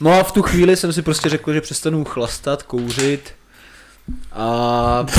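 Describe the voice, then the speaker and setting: An unremarkable speaking voice at a fairly slow pace with ordinary pitch variation. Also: man, fairly high pitch for a man. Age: 20s. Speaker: professional soldier. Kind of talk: casual chat.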